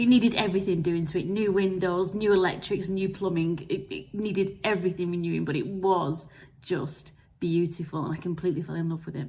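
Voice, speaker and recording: Amid audible room echo, a woman with an English accent talks at a fairly quick pace in a dark, mellow, somewhat breathy tone. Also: fairly low pitch for a woman, ordinary pitch variation. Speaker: marketing vlogger. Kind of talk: personal storytelling vlog. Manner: fast.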